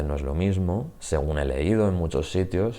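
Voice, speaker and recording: A man's very deep, low voice with a dark, mellow tone and audible room echo. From Spain, Murcia. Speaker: Spanish teacher. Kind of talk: channel introduction, casual monologue. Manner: hesitant, with fillers.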